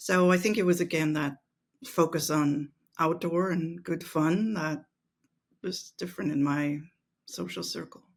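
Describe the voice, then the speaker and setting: A woman with a German accent talks fairly slowly, leaving long, frequent pauses. Her voice sits fairly low, and her intonation stays fairly even. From Austria, Vienna. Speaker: mental exercise coach. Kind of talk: interview.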